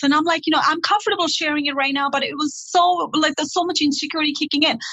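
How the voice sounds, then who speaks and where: A woman talking at a very fast pace amid noticeable background noise. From Nepal. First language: Nepali. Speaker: career consultant. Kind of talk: interview. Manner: animated.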